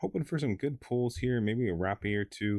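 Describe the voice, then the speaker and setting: Quiet and fairly quick, a man speaks with lively intonation and a fairly low pitch in a dry, close sound with no echo. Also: very clean recording, silent background. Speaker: card game YouTuber. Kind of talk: casual pack-opening commentary. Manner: lowered, quieter voice.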